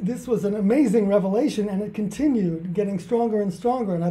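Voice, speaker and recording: The speaker talks at a very fast pace with a New Jersey accent and ordinary pitch variation. Audible room echo colors the sound. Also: man. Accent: American, New Jersey. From US Northeast, New Jersey. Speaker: author and charity founder. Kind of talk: interview.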